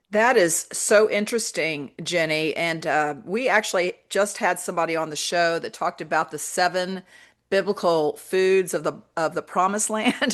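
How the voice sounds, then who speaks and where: Over a quiet background, a woman with a plain, everyday voice talks at a moderate pace, her fairly low pitch showing ordinary pitch variation. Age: 60s. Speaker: radio host. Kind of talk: radio interview.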